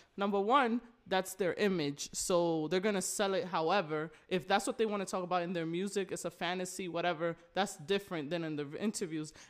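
Her ordinary speaking voice at medium pitch, a woman talks at a fairly quick pace with ordinary pitch variation and hardly any pauses. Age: 20s. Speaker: graphic designer. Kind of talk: casual chat.

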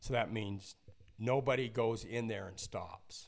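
A man talks at a fairly slow pace with a fairly low pitch and ordinary pitch variation. It is a plain, everyday voice. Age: 60s. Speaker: basketball coach and company founder. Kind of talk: casual chat.

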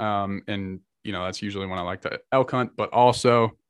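This man has an ordinary speaking voice, fairly low in pitch, with fairly even intonation. The recording is very clean, with a silent background. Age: 20s. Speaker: outdoor gear company representative and bowhunter. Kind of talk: casual interview.

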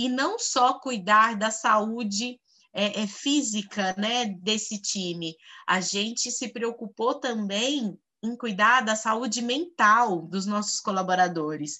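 The speaker is a woman with ordinary pitch variation. She talks at a very slow pace. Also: fairly high pitch for a woman. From Goiás, Brazil. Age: 30s. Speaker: HR executive and educator. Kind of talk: interview. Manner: hesitant with fillers.

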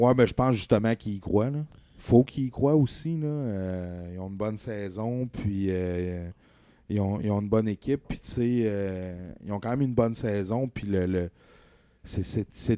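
A man's fairly low, dark and mellow voice with a Quebec accent, ordinary pitch variation and a fairly slow pace. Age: 30s. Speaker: sports podcast host. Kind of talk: casual chat. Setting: home studio, live stream.

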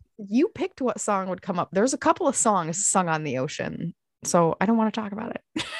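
A woman with an American accent speaks at a fairly quick pace, her pitch swinging very widely, in a dry, close sound with no echo. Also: medium pitch for a woman. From US Midwest (Michigan). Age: 40s. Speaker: podcast co-host. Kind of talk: casual chat.

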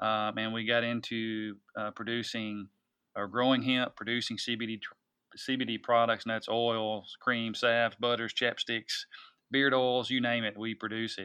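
Over a quiet background, a man of medium pitch talks at a moderate pace in a Tennessee accent, his intonation monotone and flat, the sound dry and close with no echo. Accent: US Southern (Tennessee). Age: 40s. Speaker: hunting industry executive and farmer. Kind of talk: interview conversation. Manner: hesitant, many fillers and repetitions.

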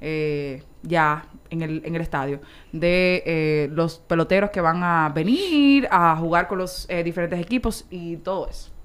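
A woman with a Dominican accent, fairly low in pitch, at a fairly slow pace with ordinary pitch variation. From Dominican Republic. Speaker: sports journalist. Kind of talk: casual chat.

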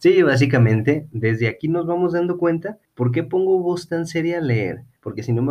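Lively intonation from a man with a Mexican accent, hardly any pauses. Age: 30s. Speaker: podcast host. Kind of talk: casual chat; reading aloud.

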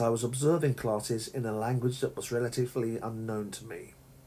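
Somewhat breathy, a man speaks with a southern English accent at a medium pitch. He moves at a fairly quick pace. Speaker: English teacher. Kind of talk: solo podcast monologue. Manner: halting.

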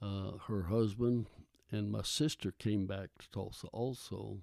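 Very slow and fairly even in intonation, a man with an American accent speaks in a dark, mellow tone at a fairly low pitch. The recording is very clean, and the background is silent. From Oklahoma. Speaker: grandfather telling life story. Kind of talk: interview about his childhood.

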